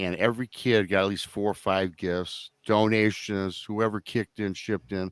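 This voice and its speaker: A normal speaking voice, dry and close with no echo. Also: man. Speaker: podcast host. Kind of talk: live online talk show.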